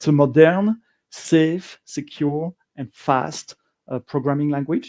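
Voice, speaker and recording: Speaking fairly slowly with a slight French accent, a man has a fairly high pitch with ordinary variation, a dark, mellow tone and big swings in loudness, recorded with a dry, close sound and no echo. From Belgium. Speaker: software engineer and conference speaker. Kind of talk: conference talk. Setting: stage with live audience, also streamed. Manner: hesitant, frequent uh and um.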